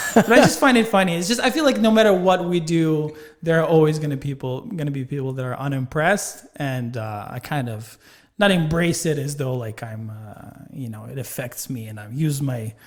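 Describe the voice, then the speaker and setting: Big swings in loudness and very wide pitch swings mark this man's fairly quick speech. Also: fairly high pitch for a man. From Ukraine. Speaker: stand-up comedian and podcaster. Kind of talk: casual interview chat. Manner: halting, many fillers.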